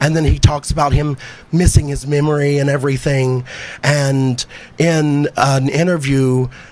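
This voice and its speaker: A man speaks at a moderate pace in a fairly high voice. His intonation is monotone and flat, with noticeable background noise behind him. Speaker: stand-up comedian. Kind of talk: stand-up. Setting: stage with audience.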